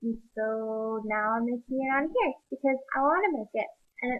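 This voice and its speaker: Soft-spoken and fairly high-pitched, a woman talks with ordinary pitch variation. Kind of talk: casual talk to camera. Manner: quiet, soft-spoken.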